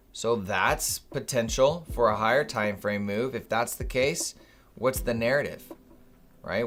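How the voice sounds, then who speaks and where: A man talks at a fairly slow pace and medium pitch. He has a plain, everyday voice. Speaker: day trading streamer. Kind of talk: live trading stream commentary.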